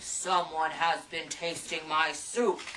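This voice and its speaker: A female-sounding put-on character voice growls at a middle pitch and a fairly slow pace. Background noise is clearly audible. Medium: read story. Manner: roaring.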